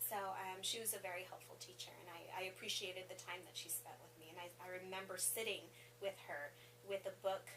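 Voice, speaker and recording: Medium-pitched woman's voice with ordinary pitch variation and big swings in loudness, over noticeable background noise. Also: fairly quick pace. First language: Spanish. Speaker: assistant principal. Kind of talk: interview. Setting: school office.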